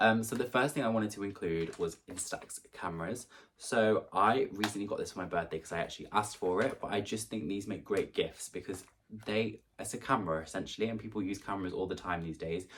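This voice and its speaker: In a British accent, the speaker talks at a fairly quick pace with ordinary pitch variation. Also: man, fairly low pitch for a man. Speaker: YouTuber. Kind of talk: vlog gift guide. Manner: fast; casual, chatty.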